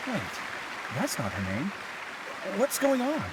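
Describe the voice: A put-on character voice with very wide pitch swings moves at a fairly slow pace, with clear background noise and clear crowd noise behind it. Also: man, high pitch for a man.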